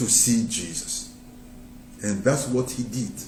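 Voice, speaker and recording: A man speaks with very wide pitch swings. Room echo is audible. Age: 60s. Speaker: preacher. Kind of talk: sermon. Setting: live broadcast.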